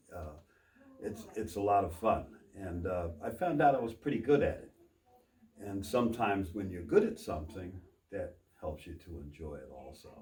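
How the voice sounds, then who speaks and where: Pausing long and often, a man speaks at a moderate pace in a somewhat breathy, fairly low voice with lively intonation and big swings in loudness, with audible room echo around him. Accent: American. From Texas. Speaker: copier salesperson. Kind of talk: casual interview. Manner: halting, repeats words.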